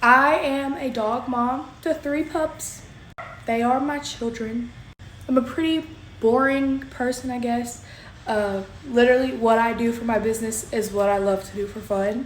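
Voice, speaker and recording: A high-pitched woman's voice in a Southern US accent, ordinary pitch variation, and audible room echo. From Kentucky. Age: 20s. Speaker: crafter and small business owner. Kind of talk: casual vlog self-introduction.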